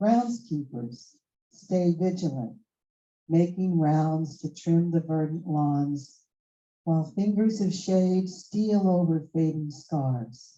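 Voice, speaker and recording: Very slow in pace, a woman speaks in a dark, mellow tone at a fairly low pitch with ordinary pitch variation. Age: 70s. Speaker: open mic poet. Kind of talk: casual chat; poetry reading.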